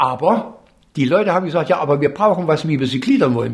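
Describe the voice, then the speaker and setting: A man talks at a very fast pace with lively intonation. His fairly high voice is somewhat breathy. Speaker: furniture designer. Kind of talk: interview.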